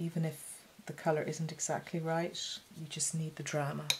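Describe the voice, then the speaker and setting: The speaker's voice is somewhat breathy and keeps a moderate pace. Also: woman. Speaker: watercolour painter and art teacher. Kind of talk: painting tutorial talk. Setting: home studio. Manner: casual, hesitant with frequent fillers.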